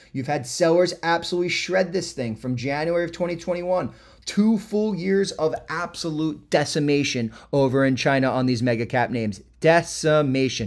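A man speaks in a normal speaking voice at a moderate pace. His pitch is fairly high and his intonation lively. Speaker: trading educator livestreamer. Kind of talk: live stream trading session. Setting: live stream to online audience.

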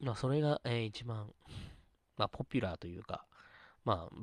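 A normal speaking voice from a man, fairly low in pitch with ordinary pitch variation, dry and close with no echo, on a very clean recording with a silent background. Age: 30s. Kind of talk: casual solo talk stream. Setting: live stream, solo. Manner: rambling, filler-heavy.

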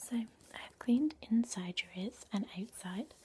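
The woman's voice is somewhat breathy with a dark, mellow tone. Light background noise can be heard. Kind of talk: soft role play talk to the viewer. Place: home room. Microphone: webcam.

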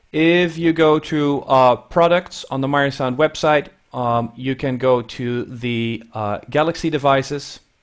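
In a quiet background, a man talks at a fairly slow pace with a fairly high pitch. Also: ordinary pitch variation. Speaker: audio education specialist and webinar co-host; webinar co-host. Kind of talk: webinar hosting and instructions. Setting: video call. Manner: hesitant with many fillers. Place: office. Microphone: headset.

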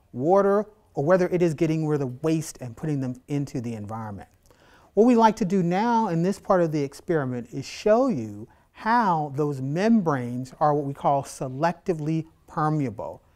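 A man's dark, mellow voice with very wide pitch swings, at a moderate pace over a quiet background. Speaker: biology instructor. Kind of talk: tutorial. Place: classroom. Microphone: lapel.

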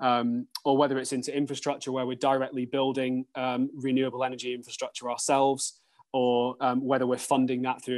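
With a British accent, a man speaks at a moderate pace and medium pitch in a monotone, flat intonation against a quiet background. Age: 30s. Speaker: sustainability executive at an investment firm. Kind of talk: interview. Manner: halting, with frequent repetitions and fillers.

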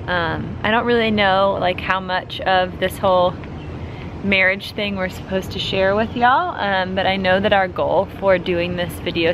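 A woman talks at an even, middling tempo while clear background noise carries on. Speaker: vlogger. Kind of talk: casual vlog chat. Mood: relaxed, reflective. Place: garden. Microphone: phone near.

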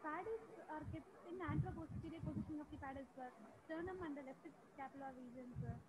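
Against loud background noise, a woman talks very fast in a high voice with ordinary pitch variation. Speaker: anaesthesiology postgraduate student. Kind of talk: oral quiz answers. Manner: halting. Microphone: video call.

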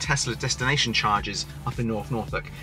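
A man speaks over faint music in the background. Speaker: car vlogger. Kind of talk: casual vlog chat. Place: car. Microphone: phone near.

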